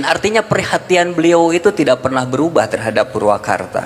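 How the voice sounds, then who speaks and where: A man speaks with a West Javanese accent, and noticeable background noise runs behind him. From West Java, Sundanese (non-Priangan). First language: Sundanese (speaking Indonesian). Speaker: event speaker. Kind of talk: public speech.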